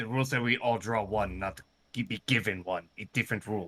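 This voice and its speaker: Using a put-on character voice, a man talks at a medium pitch. His pace is very fast. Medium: actual play. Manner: broken grammar, blunt.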